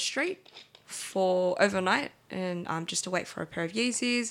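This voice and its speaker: A bright, sharp tone at a fairly slow pace, in an Australian accent. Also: woman. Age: 20s. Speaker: sneaker marketplace co-founder. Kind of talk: casual interview.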